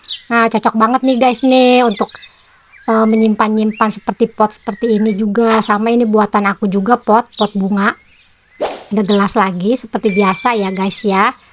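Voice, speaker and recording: Against noticeable background noise, a woman with a fairly high pitch speaks at a moderate pace in a monotone, flat way, her loudness very even and the sound dry and close with no echo. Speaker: crafts channel host. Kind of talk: tutorial. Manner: casual, chatty.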